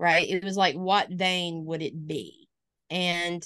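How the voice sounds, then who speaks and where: Speaking with a slight Alabama accent, a woman uses a fairly low pitch. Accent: slight Alabama Southern. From US South, northwest Alabama. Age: 40s. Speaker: pastor. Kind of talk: casual interview.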